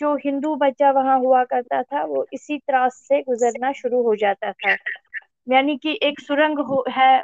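A woman's voice sits high in pitch with ordinary pitch variation. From Kashmir, Srinagar. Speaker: author and novelist. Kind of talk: interview. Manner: impassioned.

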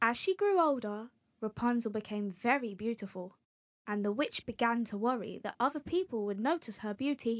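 Over quiet surroundings, plain reading aloud

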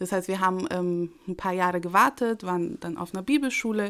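The background is silent and the recording very clean. A woman speaks at a very fast pace. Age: 30s. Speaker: pastor and mother. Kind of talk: testimony.

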